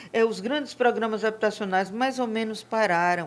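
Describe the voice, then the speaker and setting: Heard in a very clean recording over a silent background, a woman with a fairly high pitch uses an ordinary speaking voice at a fairly slow pace, with ordinary pitch variation. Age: 60s. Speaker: real estate and construction administrator. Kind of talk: podcast interview.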